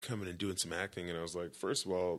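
With an American accent, a man with a very deep, low voice talks at a very fast pace and with fairly even intonation. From Texas. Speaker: former pro football player turned actor. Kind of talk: casual chat.

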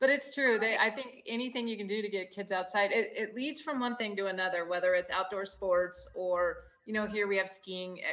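A woman with an American accent speaks in a normal speaking voice at a medium pitch, using ordinary pitch variation and hardly any pauses. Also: fairly quick pace. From Gunnison, Colorado. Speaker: founder of women's hunting apparel company. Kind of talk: casual chat. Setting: video call.

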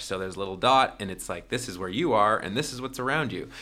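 Here a man speaks at a medium pitch in a bright, sharp tone. The recording is very clean, with a silent background. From Toronto, Canada. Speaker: startup founder. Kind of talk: casual interview.

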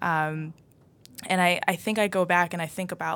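This is a woman with an American accent. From Everett, Massachusetts. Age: 20s. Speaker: former state representative candidate. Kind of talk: casual chat.

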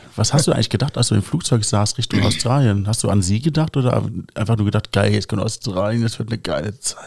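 A man's very fast, somewhat breathy delivery at a fairly low pitch. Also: ordinary pitch variation. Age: 30s. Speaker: podcast host. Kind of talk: casual podcast interview.

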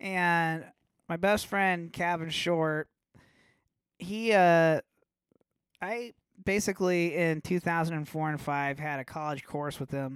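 On a very clean recording with a silent background, a man talks at a very slow pace in a high pitch, with ordinary pitch variation and long, frequent pauses. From Nebraska, Omaha. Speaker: metal guitarist. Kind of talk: casual chat.

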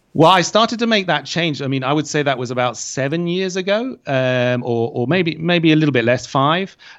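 A man with a British accent speaks at a moderate pace and fairly high pitch. His pitch varies in an ordinary way over a quiet background. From UK. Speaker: English teacher and online creator. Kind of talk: interview. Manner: hesitant, many fillers and repetitions.

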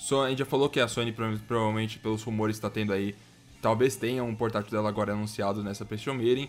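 A man talks very fast in a fairly low voice while music plays in the background. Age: 20s. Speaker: gaming podcast host. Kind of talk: casual chat. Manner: animated.

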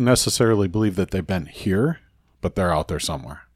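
In a very clean recording with a silent background, a man speaks in an ordinary speaking voice at a fairly low pitch. His intonation is lively, and the sound is dry and close with no echo. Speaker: podcast co-host. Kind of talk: casual chat.

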